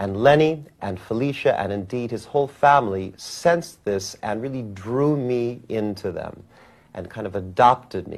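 A man's plain, everyday voice at a moderate pace with ordinary pitch variation, on a very clean recording against a silent background. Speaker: musician. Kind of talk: interview reminiscence.

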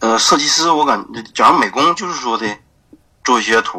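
The speaker talks at a very fast pace in a northeastern Chinese accent. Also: man. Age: 20s. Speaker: e-commerce graphic designer. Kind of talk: interview. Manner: halting, many fillers.

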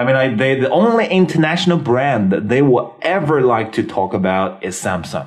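A man's medium-pitched voice moves at a moderate pace with very wide pitch swings, while noticeable background noise sits behind him. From China. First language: Mandarin Chinese. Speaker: English teacher podcaster. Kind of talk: bilingual English lesson talk show. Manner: casual, mixes Chinese and English.

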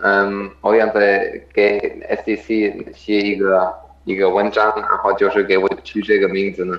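Over noticeable background noise, a man with a German accent speaks in a monotone, flat intonation at a fairly low pitch. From Germany. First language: German (speaking Chinese). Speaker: professional triathlete. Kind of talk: interview. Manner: halting, many fillers.

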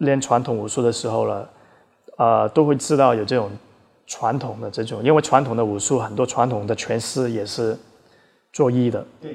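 With a plain, everyday voice, a man speaks at a moderate pace and medium pitch, keeping fairly even intonation. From Australia, emigrated as a child; also trained in Taiwan. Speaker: Brazilian jiu-jitsu coach. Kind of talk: interview conversation.

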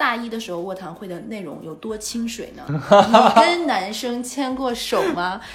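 In a Northeastern Chinese accent, a woman speaks at a fairly slow pace with a fairly high pitch, lively intonation and hardly any pauses. Her loudness swings widely, and there is audible room echo along with noticeable background noise. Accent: Northeastern Mandarin. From northeast China. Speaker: podcast co-host. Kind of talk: casual chat.

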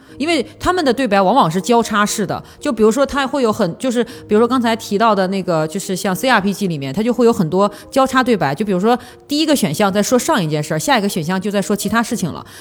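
A woman races along at a very fast pace with lively intonation and medium pitch. Noticeable background noise can be heard. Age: 30s. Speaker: podcast host, advertising professional. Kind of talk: casual chat.

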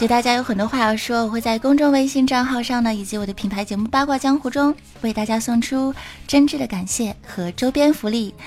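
Against noticeable background noise, a woman talks fairly quickly at a high pitch with ordinary pitch variation. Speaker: podcast host. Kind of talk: comedic chat show.

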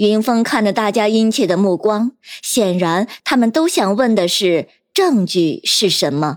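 Ordinary pitch variation runs through a natural reading voice. Nothing much stirs in the quiet background.

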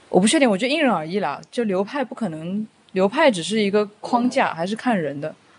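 A woman talks at a very fast pace with very wide pitch swings. There is noticeable background noise. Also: medium pitch for a woman. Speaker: co-host, counselor. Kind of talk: casual interview chat.

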